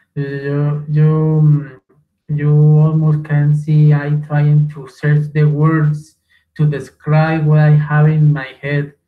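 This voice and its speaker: This man's fairly high voice is somewhat breathy, with a dark, mellow tone. He speaks very slowly in a monotone, flat delivery. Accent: Spanish. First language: Spanish. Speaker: language student. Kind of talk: class discussion. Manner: halting.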